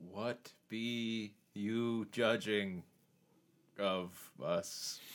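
A man puts on a character voice at medium pitch. He speaks in a flat monotone on a very clean recording with a silent background. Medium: actual play. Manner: archaic, commanding attempt.

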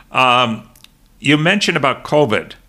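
A man talks at a fairly slow pace, his bright, sharp tone edged with vocal fry. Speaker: podcast host. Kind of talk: interview. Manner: hesitant, many filler sounds.

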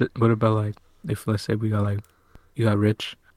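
Somewhat breathy and fairly low-pitched, a man speaks at a moderate pace in an American accent. His intonation is monotone and flat, and the sound is dry and close with no echo. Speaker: podcast co-host. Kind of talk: casual chat.

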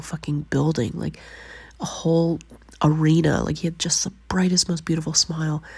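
Speaking in a Canadian accent, a woman with a very deep, low pitch sounds somewhat breathy, keeping a moderate pace and fairly even intonation. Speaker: podcast host. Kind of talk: personal monologue.

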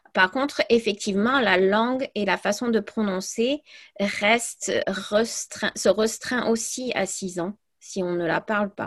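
Against a quiet background, a woman with an English accent speaks very slowly at a fairly high pitch with ordinary pitch variation. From US, then Provence from age 11. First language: English (speaking French). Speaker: language teacher. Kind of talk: casual interview.

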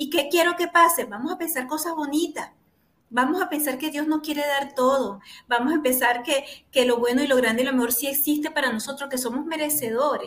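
A woman speaks in a Venezuelan accent with an animated tone. Her pitch is high and her pace fairly quick. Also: ordinary pitch variation. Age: 40s. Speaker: therapist and show host. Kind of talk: talk show interview.

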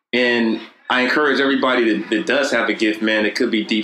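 Through noticeable background noise, a man speaks at a fairly quick pace in a medium pitch with fairly even intonation. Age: 30s. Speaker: author and entrepreneur. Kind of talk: casual interview chat.

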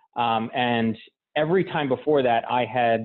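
At a moderate pace, a man uses an unremarkable speaking voice at a medium pitch. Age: 30s. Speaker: amateur marathon runner. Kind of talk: casual interview.

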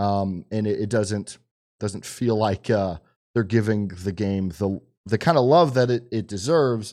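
On a very clean recording with a silent background, a man with a normal speaking voice talks fairly slowly at a fairly low pitch, with ordinary pitch variation. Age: 30s. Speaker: podcast co-host. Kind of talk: casual chat.

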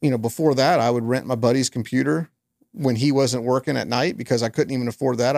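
A man's medium-pitched voice in a very clean recording with a silent background, dry and close with no echo. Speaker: podcast host. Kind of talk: casual chat.

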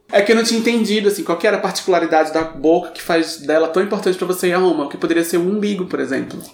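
The speech goes at a very fast pace. Noticeable background noise can be heard. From Brazil, Recife. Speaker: guest, comedian. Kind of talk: casual chat. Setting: large room with echo.

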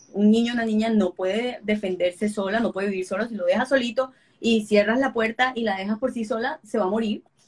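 With fairly even intonation, a woman speaks at a fairly quick pace in a somewhat breathy, fairly high voice. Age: 30s. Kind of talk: interview.

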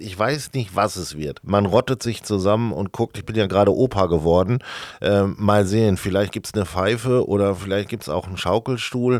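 This is a plain, everyday voice at a moderate pace. Its pitch varies in an ordinary way, while the loudness swings a lot. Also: man, fairly low pitch for a man. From Sauerland, Germany. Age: 40s. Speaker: marketing employee. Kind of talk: casual chat. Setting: studio.

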